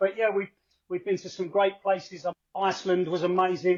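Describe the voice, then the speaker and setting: A man with a Cockney accent speaks at a high pitch. His pace is fairly quick. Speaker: football fan, podcast contributor. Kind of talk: podcast interview. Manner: hesitant, many fillers.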